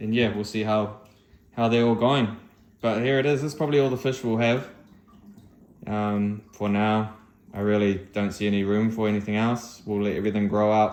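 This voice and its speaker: Amid audible room echo, a man speaks at a fairly low pitch with fairly even intonation and long, frequent pauses. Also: moderate pace. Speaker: aquarium hobbyist vlogger. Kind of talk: casual vlog narration.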